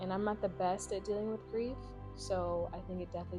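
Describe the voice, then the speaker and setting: With music in the background, a woman speaks at a very fast pace in an American accent. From Raleigh, North Carolina. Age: 20s. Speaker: physical therapist. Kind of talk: interview answer.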